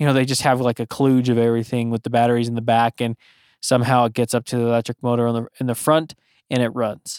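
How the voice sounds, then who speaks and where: On a very clean recording with a silent background and a dry, close sound with no echo, a man with a normal speaking voice talks at medium pitch and a fairly quick pace. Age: 30s. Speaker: podcast host. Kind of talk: solo monologue. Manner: casual, filler-heavy.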